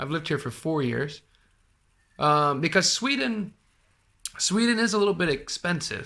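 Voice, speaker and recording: Recorded very cleanly against a silent background, a man with an American accent speaks at a moderate pace in a bright, sharp voice with very wide pitch swings. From US. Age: 30s. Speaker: podcast host. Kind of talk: casual chat.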